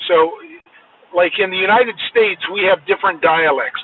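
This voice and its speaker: The voice moves at a moderate pace with an American accent. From Washington, US. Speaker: podcast co-host. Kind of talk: casual chat.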